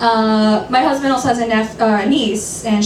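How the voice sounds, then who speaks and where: Audible echo from the room, plus noticeable noise behind the voice. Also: woman. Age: 30s. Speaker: stand-up comedian. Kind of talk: stand-up. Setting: stage with audience.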